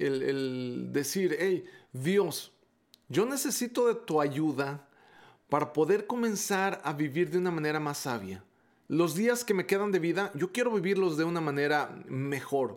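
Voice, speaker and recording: A very clean recording, silent behind the voice, with lively intonation. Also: man. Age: 40s. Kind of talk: devotional talk. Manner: hesitant, with frequent repetitions and fillers.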